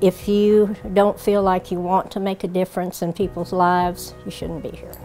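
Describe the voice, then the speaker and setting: A woman's monotone, flat delivery over faint background music. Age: 80s+. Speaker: prison supply coordinator. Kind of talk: interview answer. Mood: sincere, warm conviction. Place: shop. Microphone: lapel.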